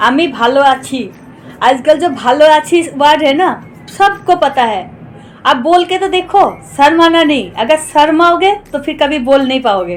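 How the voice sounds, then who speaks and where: A high-pitched woman with lively intonation against noticeable background noise. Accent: Bengali. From West Bengal, India (village). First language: Bengali (speaking Hindi). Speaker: cooking vlogger. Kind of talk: casual vlog chat.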